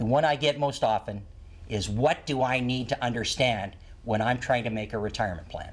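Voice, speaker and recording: A man with a plain, everyday voice, medium pitch, ordinary pitch variation, and a fairly quick pace. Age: 60s. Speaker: retirement planning author and former financial advisor. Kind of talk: interview on a TV talk show.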